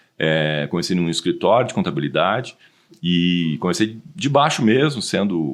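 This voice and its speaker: Here is a man with a very deep, low pitch. His intonation is lively. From southern Brazil, Rio Grande do Sul (Porto Alegre). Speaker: automotive industry consultant. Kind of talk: podcast interview.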